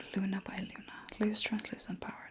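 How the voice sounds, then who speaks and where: A whispering woman at a moderate pace, relaxed in tone. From Sweden. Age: 30s. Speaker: ASMR creator. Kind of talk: ASMR unboxing talk to camera. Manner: soft-spoken, relaxed, intimate. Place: home room.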